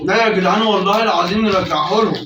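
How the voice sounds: With audible room echo around him, a man talks at a very fast pace in a high pitch with a bright, sharp tone. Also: ordinary pitch variation.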